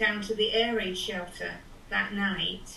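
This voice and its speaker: Over noticeable background noise and audible room echo, a woman with an American accent speaks fairly slowly at a fairly high pitch. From England. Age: 70s. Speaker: grandmother interviewed about childhood in World War Two. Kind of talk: oral history interview.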